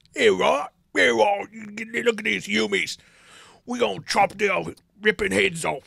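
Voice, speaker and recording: Putting on a character voice in a Cockney accent, a man speaks high for a man at a fairly slow pace with long, frequent pauses. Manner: goofy; aggressive.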